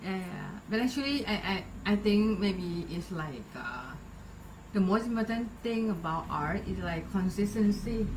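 Fairly slow speech from a woman, medium in pitch, ordinary in pitch variation, over noticeable background noise. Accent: Thai. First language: Thai. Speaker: podcast host. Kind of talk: casual interview.

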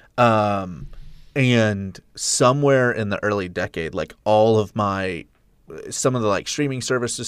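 Using an ordinary speaking voice, a man talks at a fairly slow pace and fairly low pitch with ordinary pitch variation. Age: 30s. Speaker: podcast co-host, filmmaker. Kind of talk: casual chat.

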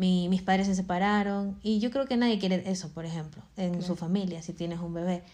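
A woman at a medium pitch has a dark, mellow tone and monotone, flat intonation. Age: 20s. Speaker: podcast host and makeup school owner. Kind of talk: casual chat. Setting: at home.

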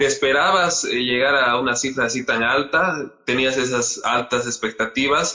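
At a fairly slow pace with hardly any pauses, a man with a plain, everyday voice speaks in a medium pitch, with fairly even intonation and very even loudness. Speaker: podcast host. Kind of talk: interview.

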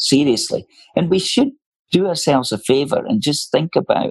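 A man with a Scottish accent speaks with vocal fry and very wide pitch swings. The sound is dry and close, with no echo. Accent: Scottish, noticeable. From Scotland, Leith/Edinburgh working-class. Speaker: senior barrister. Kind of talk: interview conversation.

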